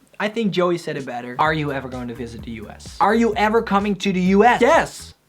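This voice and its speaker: Very wide pitch swings, a very fast pace and big swings in loudness, with music in the background. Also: man, high pitch for a man. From Netherlands. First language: Dutch. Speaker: musician and YouTuber. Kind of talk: casual Q&A chat.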